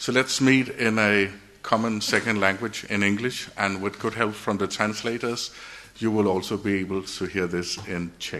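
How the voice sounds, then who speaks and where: This man has a Danish accent and a fairly low pitch. He talks at a moderate pace with fairly even intonation. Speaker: engineer and project director. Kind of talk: conference presentation. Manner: halting.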